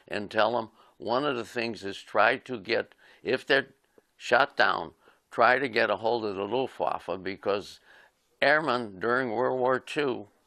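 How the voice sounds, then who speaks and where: Over a quiet background, a man talks at a medium pitch and moderate pace, with a bright, sharp tone and ordinary pitch variation. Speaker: war veteran. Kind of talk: interview testimony.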